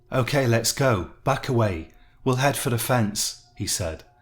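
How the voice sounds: The clip features a natural reading voice, and its pitch varies in an ordinary way.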